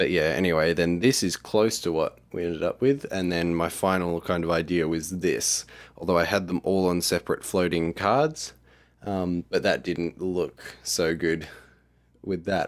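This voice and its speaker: This man's voice sits very deep and low, with fairly even intonation. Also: moderate pace, very clean recording, silent background. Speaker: app developer vlogger. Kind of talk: casual video diary walkthrough. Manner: hesitant, filler-heavy; quiet.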